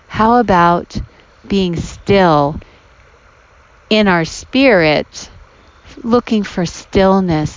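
Speaking at a very slow pace, a woman leaves long, frequent pauses. Her pitch is medium and her intonation lively. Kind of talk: reflective devotional talk. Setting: outdoors by a creek. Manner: warm, conversational.

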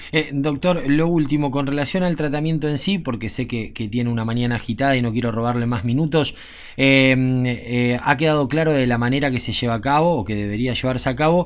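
Here is an unremarkable speaking voice at a fairly quick pace. The pitch varies in an ordinary way. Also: man, medium pitch for a man. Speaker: radio host. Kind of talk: radio interview.

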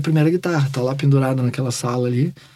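Through noticeable background noise, a man speaks very fast. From Porto Alegre, southern Brazil. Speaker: rock musician. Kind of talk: interview. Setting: home studio.

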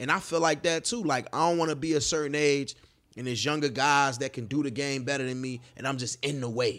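This man's pitch sits fairly high. He speaks fairly quickly. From Chicago West Side. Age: 30s. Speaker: party promoter. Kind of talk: casual chat. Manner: energetic.

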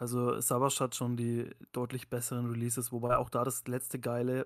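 Recorded very cleanly against a silent background, a man with a normal speaking voice and medium pitch talks at a moderate pace. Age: 30s. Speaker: podcast host. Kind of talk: casual chat.

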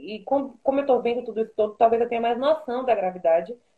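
Her pitch fairly high with ordinary variation, a woman in an unremarkable speaking voice moves along at a fairly quick pace. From Salvador, Bahia, Brazil. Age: 20s. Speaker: TV news producer. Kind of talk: interview on an Instagram live.

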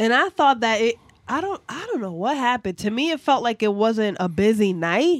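Recorded very cleanly against a silent background, in a dry, close sound with no echo, a woman with fairly high pitch speaks with very wide pitch swings. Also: moderate pace. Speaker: podcast co-host. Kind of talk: casual chat. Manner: laughs often.

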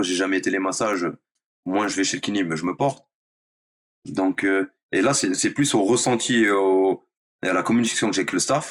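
A man at a moderate pace and fairly low pitch, ordinary pitch variation and long, frequent pauses. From France, Nice. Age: 30s. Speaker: professional footballer. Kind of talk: interview. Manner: hesitant, filler-heavy.

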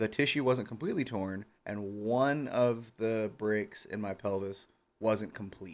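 A plain, everyday voice. It moves at a fairly slow pace with ordinary pitch variation. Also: man, fairly low pitch for a man. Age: 30s. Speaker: streamer and graphic designer. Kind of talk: casual chat.

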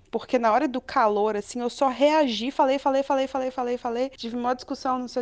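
A woman talks at a very fast pace. Her voice is high-pitched, with fairly even intonation. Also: hardly any pauses. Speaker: ship engineer. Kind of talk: testimony.

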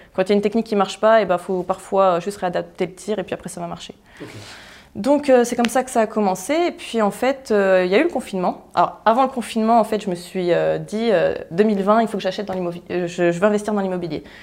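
A woman speaks at a very fast pace. Her pitch is medium, with ordinary pitch variation. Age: 20s. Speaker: entrepreneur and property investor. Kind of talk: interview.

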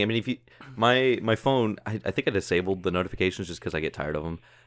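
This man delivers his words very fast. There is ordinary movement in his pitch. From Arkansas. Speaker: podcast co-host. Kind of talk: casual chat.

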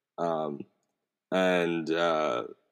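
A man talks with an American accent. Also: very clean recording, silent background. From DMV area, Maryland (US Mid-Atlantic). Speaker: podcast host. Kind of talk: casual conversation.

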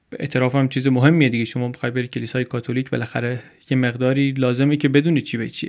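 The speech from this man races along very quickly. Nothing else is audible, and the recording is very clean. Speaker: podcast host and narrator. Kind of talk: storytelling narration. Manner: casual, conversational.

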